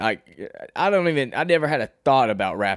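A man with a plain, everyday voice and an American accent, moderate pace and lively intonation, dry, close sound with no echo, on a very clean recording with a silent background. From Arkansas, US South. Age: young. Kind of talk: casual solo podcast monologue.

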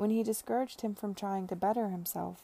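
The reading aloud is done in a natural voice. Its intonation is fairly even.

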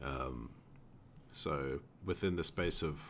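A man's voice with vocal fry. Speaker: podcast host, tech worker. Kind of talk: casual chat.

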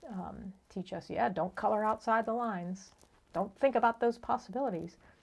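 A woman's voice with vocal fry, ordinary pitch variation and a moderate pace. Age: 60s. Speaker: podcast co-host. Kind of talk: casual chat. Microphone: crackling from scarf rubbing on mic.

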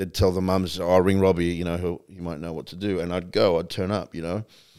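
In an American accent, a man speaks at a fairly quick pace with a very deep, low pitch and monotone, flat intonation on a very clean recording with a silent background. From US. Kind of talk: casual chat.

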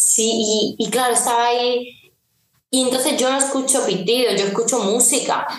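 The woman's voice is high, with fairly even intonation and very even loudness. Room echo is audible. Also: moderate pace. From Seville, Andalusia, Spain. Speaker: singer-songwriter. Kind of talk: casual interview.

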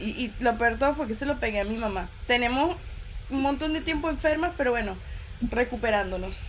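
Fairly quick and high-pitched, a woman speaks with lively intonation amid audible room echo. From Venezuela, Barquisimeto. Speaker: podcast host. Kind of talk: live stream chat. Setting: live stream video call.

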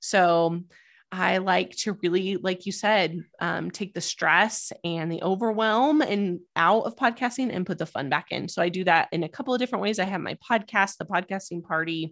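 With an American accent, a woman has an unremarkable speaking voice at medium pitch, moving at a moderate pace with ordinary pitch variation against a quiet background. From US, Idaho. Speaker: podcast coach. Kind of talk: interview.

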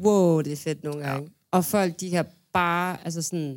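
Speaking at a fairly slow pace, a woman has a fairly low pitch and an ordinary speaking voice. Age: 20s. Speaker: music booker, manager and DJ. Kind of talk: casual chat. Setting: studio.

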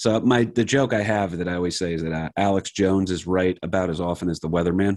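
Talking at a very fast pace with a New Jersey accent, a man with a very deep, low voice keeps his intonation fairly even. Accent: New Jersey American. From New Jersey, US. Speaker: comedian and podcaster. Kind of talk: casual chat. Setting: video call.

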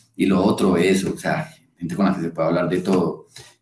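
A man's voice sits very deep and low in pitch with a dark, mellow tone. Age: 20s. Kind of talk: casual chat.

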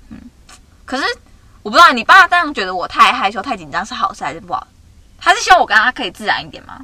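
A woman's high, raised, projected voice at a very fast pace, with very wide pitch swings, big swings in loudness and long, frequent pauses. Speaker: podcast co-host. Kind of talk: casual chat. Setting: in a car.

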